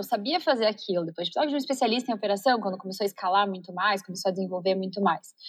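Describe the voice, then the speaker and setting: This is a woman's voice. Her intonation is lively. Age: 30s. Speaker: entrepreneur, company CEO. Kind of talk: interview conversation.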